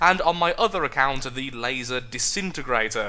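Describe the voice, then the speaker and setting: Lively intonation and a moderate pace mark this speaker with a British accent. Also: man. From United Kingdom. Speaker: gamer. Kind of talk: casual gameplay commentary. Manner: stammering.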